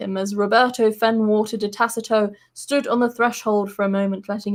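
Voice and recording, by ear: Against a quiet background, a natural voice reads aloud with fairly even intonation.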